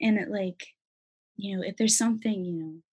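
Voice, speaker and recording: Somewhat breathy speech comes through with an American accent. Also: woman. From US Pacific Northwest, Federal Way near Seattle. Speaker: college student. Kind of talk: casual interview. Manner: animated.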